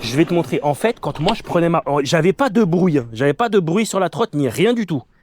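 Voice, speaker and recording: A loud man at a fairly quick pace. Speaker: electric scooter reviewer. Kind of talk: casual ride commentary. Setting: outdoors riding a scooter. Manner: casual, hesitant.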